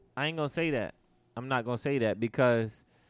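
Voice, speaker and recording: The recording is very clean with a silent background, and the man's pitch shows ordinary variation. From Maryland. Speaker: podcast co-host. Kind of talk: casual chat. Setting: recording at a hangout spot.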